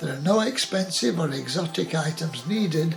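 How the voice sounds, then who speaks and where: A man's fairly high-pitched voice with lively intonation, music in the background. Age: 80s+. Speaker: home cook. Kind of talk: casual talk to camera. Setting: home kitchen.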